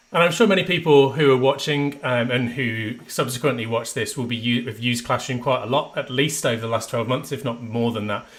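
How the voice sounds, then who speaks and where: A man with a Midlands accent, medium in pitch, at a fairly quick pace. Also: ordinary pitch variation, hardly any pauses. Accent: Midlands twang. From English Midlands. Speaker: education trainer, former maths teacher. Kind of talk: webinar presentation. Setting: online webinar.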